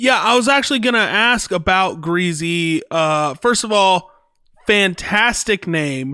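A man with a high voice speaks at a fairly slow pace in a raised, projected voice, his intonation lively and his loudness very even, on a very clean recording with a silent background. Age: 20s. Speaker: podcast co-host and musician. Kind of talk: casual chat.

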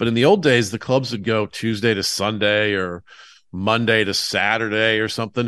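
Against a quiet background, a man with an American accent speaks at a moderate pace, his bright, sharp tone at medium pitch with fairly even intonation. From US South, Atlanta. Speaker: stand-up comedian. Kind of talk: casual chat.

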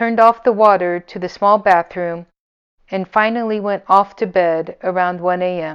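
The recording features plain reading aloud. Behind it, all is quiet.

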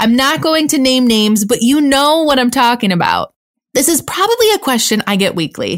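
Upbeat and energetic, a woman with a high pitch and an American accent speaks at a moderate pace with very wide pitch swings. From Niagara Falls, New York, US. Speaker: business coach and podcast host. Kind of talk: solo podcast monologue. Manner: upbeat, energetic.

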